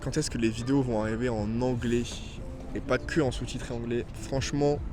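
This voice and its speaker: A man talks with fairly even intonation. There is audible room echo and noticeable background noise. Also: medium pitch for a man, moderate pace. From southern France. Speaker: vlogger. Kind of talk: casual Q&A vlog. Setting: outdoors in a park. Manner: hesitant, many fillers.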